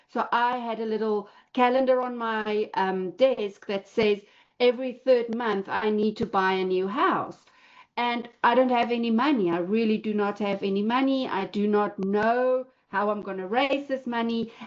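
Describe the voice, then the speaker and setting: With a South African accent, a woman speaks at a fairly high pitch and a moderate pace, with ordinary pitch variation. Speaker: real estate investor. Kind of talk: personal story talk in online class. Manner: hesitant, many fillers.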